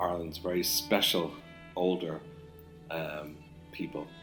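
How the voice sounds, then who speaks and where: Music in the background behind a man's very deep, low pitch. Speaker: podcast host. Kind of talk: podcast introduction.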